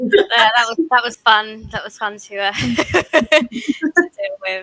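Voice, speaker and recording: Very slow and marked by big swings in loudness, a woman speaks with lively intonation at a fairly high pitch, in a dry, close sound with no echo. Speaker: airsoft event organizer. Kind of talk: casual chat.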